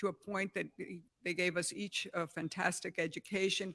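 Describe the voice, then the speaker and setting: A woman with an American accent, medium pitch and vocal fry, at a moderate pace, on a very clean recording with a silent background. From New York City, Spanish-speaking home. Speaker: philanthropist. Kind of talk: prepared remarks at press event.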